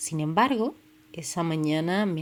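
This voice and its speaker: A woman talks with lively intonation in a Canarian accent. The recording is very clean, with a silent background. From Canary Islands, Tenerife. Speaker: podcast host. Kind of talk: personal storytelling podcast. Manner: casual, with many fillers.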